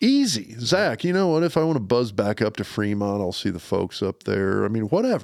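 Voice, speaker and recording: A man speaks with an American accent at a fairly quick pace. His pitch swings very widely. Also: medium pitch for a man, hardly any pauses. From Lincoln, Nebraska. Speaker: podcast co-host, former college football player. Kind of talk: casual chat. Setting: basement studio.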